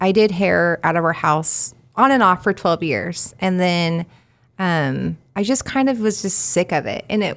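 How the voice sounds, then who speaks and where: A woman with an ordinary speaking voice talks at a fairly slow pace, her fairly low pitch carried by lively intonation, on a very clean recording with a silent background. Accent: American. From Kansas, Wichita area. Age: 40s. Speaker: handywoman business owner. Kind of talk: podcast interview.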